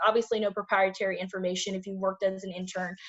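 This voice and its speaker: A woman speaks at a fairly quick pace. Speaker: career workshop presenter. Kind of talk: online presentation. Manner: fast.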